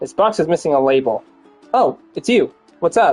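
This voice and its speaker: Over faint music in the background, a man does a put-on character voice at a high pitch and a moderate pace. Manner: casual, friendly.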